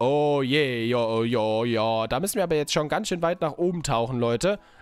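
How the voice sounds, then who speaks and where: A man's voice with very wide pitch swings, dry with no echo, over faint background music. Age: 20s. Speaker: gaming YouTuber. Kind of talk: casual let's play commentary. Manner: animated. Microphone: studio mic.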